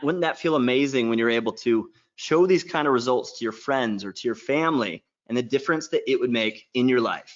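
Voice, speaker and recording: At a fairly quick pace, a man talks in an animated tone with medium pitch and ordinary pitch variation. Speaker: online marketing workshop presenter. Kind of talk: sales pitch. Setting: live webinar. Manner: fast.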